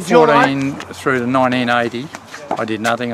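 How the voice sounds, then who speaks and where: Loud background noise surrounds a man talking at a fairly quick pace with fairly even intonation, the sound itself dry with no echo. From Australia. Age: 60s. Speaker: amateur cricketer. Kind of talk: interview answer. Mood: reflective, calm. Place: open country.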